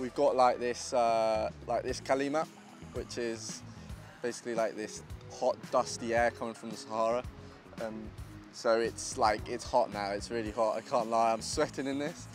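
Clear music behind a man talking at a moderate pace, with ordinary pitch variation and a dry sound with no echo. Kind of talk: casual vlog chat. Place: street. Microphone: handheld.

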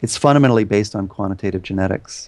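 A plain, everyday voice from a man, fairly low in pitch with ordinary pitch variation, over a quiet background. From Canada. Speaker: professor of evolutionary biology. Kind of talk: interview. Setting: video call.

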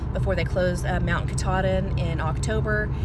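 A woman at a moderate pace, dry with no echo, over loud background noise. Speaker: hiker vlogger. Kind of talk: casual vlog chat. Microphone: phone near.

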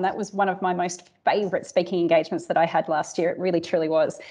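Against a quiet background, a woman talks with an Australian accent. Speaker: cybersecurity industry executive; keynote speaker. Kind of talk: keynote speech; audience Q&A. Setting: conference stage with audience. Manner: animated. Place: office. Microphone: earbuds.

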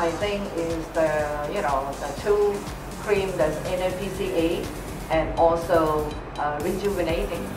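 Amid noticeable background noise, a woman speaks at a fairly slow pace. She leaves long, frequent pauses. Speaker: network marketing leader. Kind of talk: interview answer. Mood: warm, pleasant. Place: studio.

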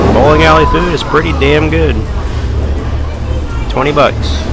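A man's voice, dry with no echo, is heard over background music. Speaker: parent vlogger. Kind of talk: casual vlog chat. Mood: playful, joking. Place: hall. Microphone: phone near.

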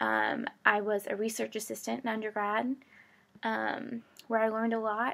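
At a fairly high pitch, a female speaker talks with an American accent. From Michigan. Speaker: graduate school applicant. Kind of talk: application video statement. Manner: hesitant with frequent fillers. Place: home room. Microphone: webcam.

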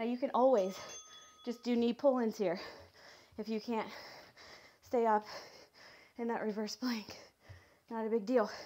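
A woman with a dark, mellow tone speaks at a moderate pace in a monotone, flat intonation, leaving long, frequent pauses. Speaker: fitness instructor. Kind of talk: workout instruction. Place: home room.

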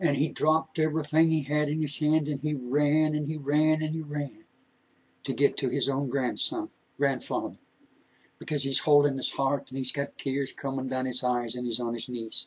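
At a moderate pace, a man speaks at a medium pitch with fairly even intonation and a slightly husky edge.

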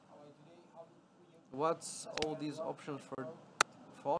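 A man is talking. Noticeable background noise is present. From Latvia. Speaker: live casino dealer. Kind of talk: live commentary. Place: studio.

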